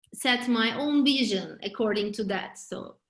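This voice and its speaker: Very slowly, a woman talks with a Turkish accent. Her voice is somewhat breathy, with fairly even intonation. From Turkey. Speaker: real estate agent. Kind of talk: interview. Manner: halting, many fillers.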